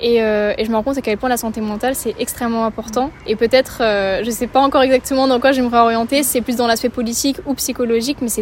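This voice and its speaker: Fairly high and fairly quick, a woman's voice moves with fairly even intonation. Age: 20s. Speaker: civic service volunteer. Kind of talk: interview. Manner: hesitant, many fillers.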